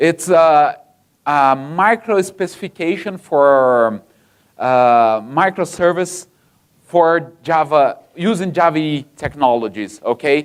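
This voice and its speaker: A man with a Brazilian accent speaks very slowly at a fairly high pitch, with lively intonation and very even loudness, on a very clean recording with a silent background. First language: Portuguese. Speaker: software engineer, conference speaker. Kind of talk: conference talk. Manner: halting, many fillers.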